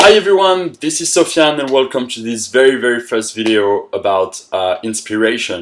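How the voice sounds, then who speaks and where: Speaking in a French accent, a man uses lively intonation at a medium pitch and a moderate pace. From France. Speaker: motivational coach. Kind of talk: motivational talk.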